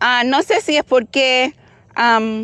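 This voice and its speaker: With a Cuban accent, a woman speaks at a high pitch with lively intonation, the sound dry and close with no echo. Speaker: firearms YouTuber. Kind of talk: casual chat while shooting, code-switching English and Spanish.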